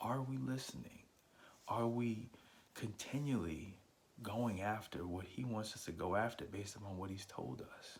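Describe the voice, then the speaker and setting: Soft-spoken and somewhat breathy, a man with a fairly low pitch talks at a moderate pace with ordinary pitch variation amid audible room echo. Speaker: podcast host. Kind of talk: devotional talk. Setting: at home on vacation.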